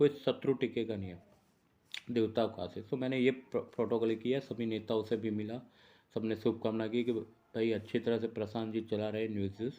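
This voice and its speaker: In a Gujarati accent, the voice has a dark, mellow tone and monotone, flat intonation. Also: man, medium pitch for a man. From India, Gujarat (Ahmedabad). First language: Gujarati (speaking Hindi). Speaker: journalist and astrologer. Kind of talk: casual vlog monologue. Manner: unscripted, rambling.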